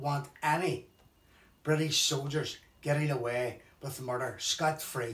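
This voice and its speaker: Speaking in a Belfast accent, a man uses a fairly high pitch and fairly even intonation. He goes at a fairly slow pace. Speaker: bereaved relative of a conflict victim. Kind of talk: testimony.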